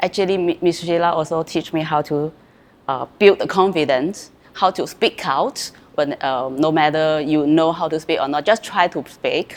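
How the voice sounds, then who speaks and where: In a Chinese accent, a woman speaks at a moderate pace with a very deep, low pitch and ordinary pitch variation. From China. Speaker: former student, real estate salesperson. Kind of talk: interview testimony. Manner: halting, many fillers and repeats.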